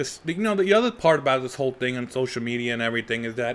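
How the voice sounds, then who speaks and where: A man talks at a fairly quick pace with an animated tone. His pitch is medium, with ordinary variation. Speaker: comedian and podcast host. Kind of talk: solo podcast monologue.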